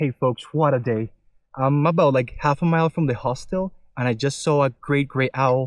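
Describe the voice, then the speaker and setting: The voice moves at a moderate pace and keeps its loudness very even throughout. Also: man, fairly high pitch for a man, dry, close sound with no echo. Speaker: motorcycle travel vlogger and wildlife photographer. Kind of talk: casual vlog to camera. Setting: outdoors. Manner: animated.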